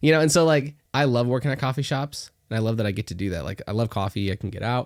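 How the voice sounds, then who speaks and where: In a very clean recording with a silent background, a man with an American accent talks very fast at a medium pitch, his intonation lively. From Northwest Arkansas, US South. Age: young, 19. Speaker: young entrepreneur and realtor. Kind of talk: casual podcast interview.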